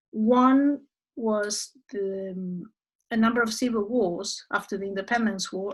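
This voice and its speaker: Against a quiet background, a woman with a Spanish accent talks at a fairly slow pace, her fairly high voice somewhat breathy and her intonation fairly even. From Argentina. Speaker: human rights expert. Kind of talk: lecture. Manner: halting.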